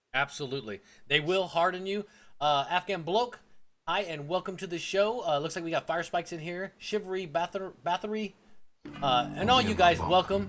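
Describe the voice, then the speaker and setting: A man with a high-pitched voice and an American accent talks at a moderate pace with ordinary pitch variation while music plays in the background. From Florida, US South. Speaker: gaming livestream host. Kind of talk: casual chat.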